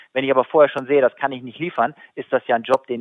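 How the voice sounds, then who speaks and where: A man talks very fast at a medium pitch. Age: 40s. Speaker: sales consultant and keynote speaker. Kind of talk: interview. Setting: phone call.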